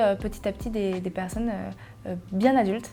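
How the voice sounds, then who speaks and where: Amid audible room echo, a woman speaks at a fairly slow pace with monotone, flat intonation. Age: 20s. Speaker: journalist, content creator and singer. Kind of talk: personal testimony interview. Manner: hesitant, many fillers.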